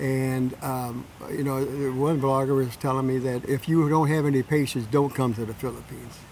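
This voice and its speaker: In a Tennessee accent, a man talks at a moderate pace with a medium pitch and flat, monotone intonation. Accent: Southern US (Tennessee). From US South, Tennessee. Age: 80s+. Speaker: retiree. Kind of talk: casual interview. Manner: halting, with many fillers.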